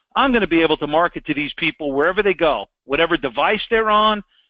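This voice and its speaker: An animated man's high voice at a fairly quick pace, with lively intonation. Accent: New York. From New York. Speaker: sales trainer. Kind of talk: sales training with role-play pitch. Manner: direct, animated.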